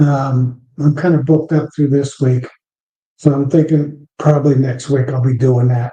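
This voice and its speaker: A man speaks in a dark, mellow, somewhat breathy tone with monotone, flat intonation. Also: fairly high pitch for a man, moderate pace. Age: 60s. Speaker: beekeeper. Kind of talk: live stream chat. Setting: live stream. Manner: casual, halting with fillers.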